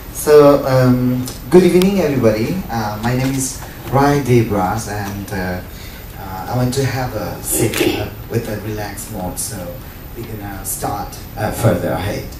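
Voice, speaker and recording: A man with a Nepali accent speaks fairly slowly at a medium pitch with lively intonation. Noticeable background noise and audible room echo fill the recording. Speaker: event moderator, teacher and community radio host. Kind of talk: event introduction. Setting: book talk with live audience. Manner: halting, many fillers.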